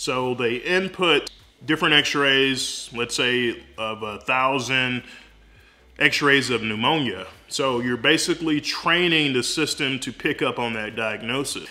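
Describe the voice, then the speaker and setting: A man talks at a fairly slow pace in a bright, sharp tone, with ordinary pitch variation. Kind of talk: explainer vlog. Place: home room. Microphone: phone near.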